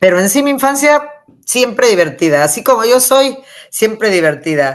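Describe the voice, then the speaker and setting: A woman is speaking. Her pitch swings very widely. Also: quiet background. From Mexico City, raised from age six (born Michoacán). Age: 60s. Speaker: author. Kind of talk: interview. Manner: animated.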